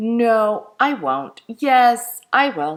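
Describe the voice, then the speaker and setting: A woman speaks in a put-on character voice. Her pitch sits fairly high. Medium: read story.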